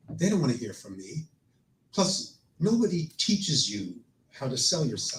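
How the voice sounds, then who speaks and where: This man's voice shows vocal fry and very wide pitch swings, moving at a moderate pace. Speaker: storyteller and performer. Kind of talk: personal storytelling on stage. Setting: live stage with audience.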